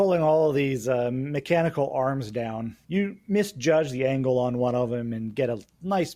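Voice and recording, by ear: Pitch varies in an ordinary way while a text is read aloud in a natural voice.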